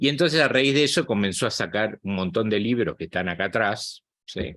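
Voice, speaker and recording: A normal speaking voice from a man, fairly low in pitch, fairly quick, with lively intonation and a quiet background. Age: 60s. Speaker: psychologist and spiritual channel host. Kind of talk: guest talk to online group.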